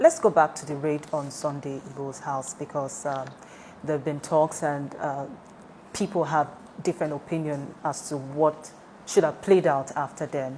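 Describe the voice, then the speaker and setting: A woman's very deep, low voice at a moderate pace, fairly even in intonation, with big swings in loudness over noticeable background noise. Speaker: news interviewer. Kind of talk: interview questions.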